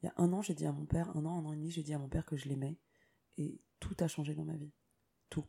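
A woman speaks at a very fast pace in a very deep, low voice with a dark, mellow, somewhat breathy tone. Her intonation stays fairly even, broken by long, frequent pauses. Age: 30s. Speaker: singer-songwriter. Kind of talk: interview. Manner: hesitant, many fillers.

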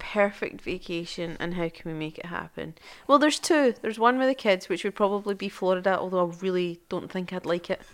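In a Scottish accent, a woman speaks at a fairly quick pace with hardly any pauses, an animated tone, a medium pitch, ordinary pitch variation and big swings in loudness, on a very clean recording with a silent background. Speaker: podcast co-host, mother. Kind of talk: casual chat. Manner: animated, laughing.

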